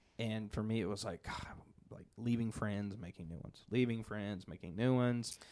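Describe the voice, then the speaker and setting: A man speaks in a plain, everyday voice, fairly low in pitch, at a moderate pace. His loudness swings a lot. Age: 20s. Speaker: church podcast host. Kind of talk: casual interview.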